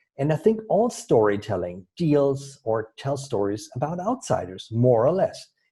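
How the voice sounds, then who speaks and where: A man speaks at a fairly slow pace with hardly any pauses, his pitch fairly high and swinging very widely. His tone is dark and mellow, and somewhat breathy. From Germany. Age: 50s. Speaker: storytelling coach. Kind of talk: interview. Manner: halting.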